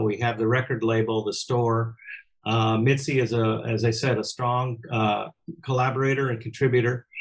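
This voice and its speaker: A man with an American accent talks at a moderate pace in a somewhat breathy voice. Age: 70s. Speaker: musician and record producer. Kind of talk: interview. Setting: home studio. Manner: halting, repeats words.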